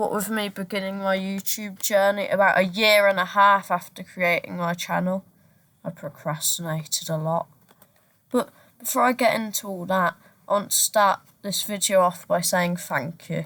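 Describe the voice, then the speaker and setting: A woman with a Brummie accent, medium pitch and a bright, sharp tone, at a moderate pace with ordinary pitch variation, on a very clean recording with a silent background. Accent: Brummie (Birmingham). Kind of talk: casual talk to camera.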